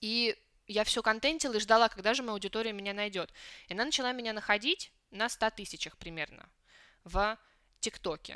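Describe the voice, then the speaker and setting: A woman with a bright, sharp, fairly high voice speaks at a fairly quick pace with ordinary pitch variation and long, frequent pauses, in a very clean, dry, close recording with no echo and a silent background. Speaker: Chinese teacher and song translator blogger. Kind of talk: casual interview chat.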